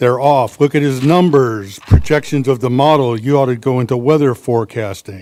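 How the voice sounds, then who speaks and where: This man talks at a moderate pace with hardly any pauses, his medium-pitched voice dark and mellow in tone. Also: ordinary pitch variation. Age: 60s. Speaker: public commenter at county meeting. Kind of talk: public comment at government hearing.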